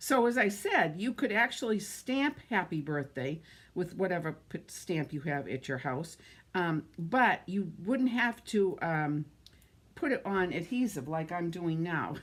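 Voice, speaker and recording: In an American accent, the speech moves at a fairly slow pace with very wide pitch swings. The recording is very clean, with a silent background. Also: woman, fairly low pitch for a woman. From Massachusetts. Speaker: card-making crafter. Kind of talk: live crafting demonstration. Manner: casual, chatty.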